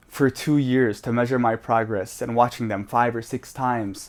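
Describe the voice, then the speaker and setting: On a very clean recording with a silent background, a man with an American accent and an unremarkable speaking voice talks at a fairly slow pace, using medium pitch and fairly even intonation. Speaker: language learning vlogger. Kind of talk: casual vlog monologue. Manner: casual, filler-heavy.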